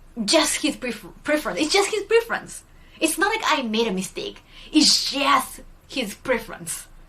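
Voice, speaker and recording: A woman's raised, projected voice with a Japanese accent, high in pitch with very wide pitch swings, at a moderate pace over noticeable background noise. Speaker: streamer. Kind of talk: casual chat. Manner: hesitant, many fillers.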